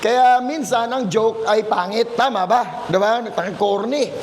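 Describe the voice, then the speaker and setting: Over noticeable background noise and audible room echo, a man speaks at an extremely high pitch for a man. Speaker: criminology lecturer. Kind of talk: lecture. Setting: classroom hall with students. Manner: animated, rising voice when passionate; swears heavily, joking.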